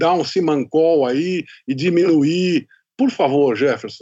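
A man speaks in a high pitch, with a quiet background behind him. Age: 60s. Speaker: podcast host, journalist. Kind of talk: interview.

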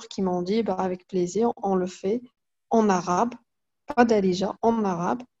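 A woman speaks at a medium pitch with a dark, mellow tone. Her intonation stays fairly even. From Morocco, Fès. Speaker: comic artist and illustrator. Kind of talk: interview. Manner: halting, many repetitions.

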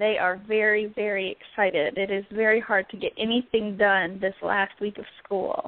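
A woman with an American accent speaks at a moderate pace with hardly any pauses. She has an ordinary speaking voice, a medium pitch, and fairly even intonation. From Southern Virginia. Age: 20s. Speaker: first grade teacher. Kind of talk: casual chat.

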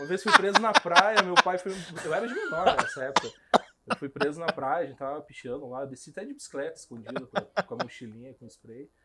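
At a fairly quick pace, a man speaks with a high pitch and big swings in loudness. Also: lively intonation. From Curitiba, Brazil (moved from Rondônia at about 8). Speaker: graffiti artist. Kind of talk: casual interview chat.

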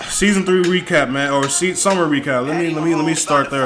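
The man's voice has ordinary pitch variation. Noticeable background noise and audible room echo are present. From Nigerian family. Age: 20s. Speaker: podcast host. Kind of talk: casual monologue. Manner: animated.

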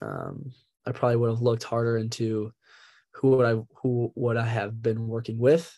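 In a dark, mellow tone, a man speaks with monotone, flat intonation. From Minnesota. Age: young. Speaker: college athlete. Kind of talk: interview. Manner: halting.

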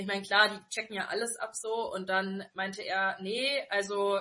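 Bright and sharp in tone, a woman speaks at a fairly slow pace. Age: 20s. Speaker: podcast co-host. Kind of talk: casual chat. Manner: animated.

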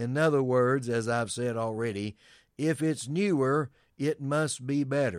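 In a plain, everyday voice, a man speaks at a fairly slow pace with a medium pitch and ordinary pitch variation. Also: very clean recording, silent background. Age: 60s. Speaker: pastor. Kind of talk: sermon-style commentary.

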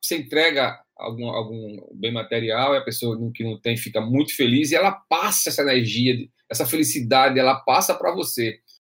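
A man's voice sits at a medium pitch, varying in an ordinary way as he talks at a moderate speed. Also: hardly any pauses. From Brazil, interior of Rio Grande do Norte (Açu). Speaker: podcast host. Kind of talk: casual discussion podcast. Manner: halting, frequent repetitions.

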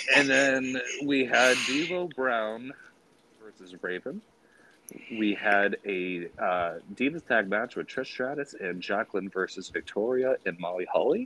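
This man has an unremarkable speaking voice, medium in pitch, with lively intonation and a fairly slow pace. The sound is dry and close, with no echo. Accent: American. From Springfield, Massachusetts. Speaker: wrestling fan podcast guest. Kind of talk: casual chat.

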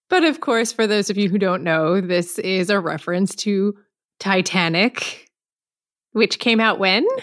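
A woman speaks at a fairly slow pace in an unremarkable speaking voice, with medium pitch and ordinary pitch variation. Her loudness stays very even throughout. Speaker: podcast co-host. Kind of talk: casual podcast chat.

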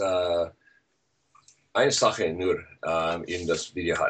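At a very slow pace, a man speaks. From Switzerland. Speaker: internet marketing expert. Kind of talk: interview. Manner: halting, many fillers; mixes German and English.

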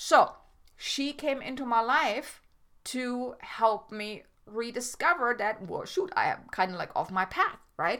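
A woman with a German accent speaks in a high pitch with a bright, sharp tone. Her pitch swings very widely at a fairly slow pace. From Germany. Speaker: podcast host and life coach. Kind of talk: solo podcast monologue. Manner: halting, with frequent self-corrections.

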